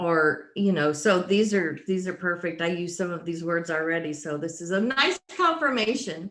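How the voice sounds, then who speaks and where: A normal speaking voice from a woman, fairly low in pitch, with ordinary pitch variation, a moderate pace and hardly any pauses. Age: 60s. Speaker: workshop participant. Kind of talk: casual chat.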